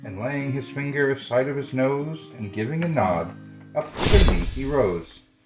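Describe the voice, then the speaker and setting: Music plays in the background behind a man with a fairly high pitch. His tone is gentle and his intonation lively. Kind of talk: poetry reading. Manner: gentle, kind.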